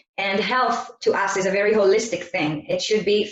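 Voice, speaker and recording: A woman talks with an Israeli accent. Her pace is moderate. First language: Hebrew. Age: 30s. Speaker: network marketing presenter. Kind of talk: sales presentation. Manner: halting.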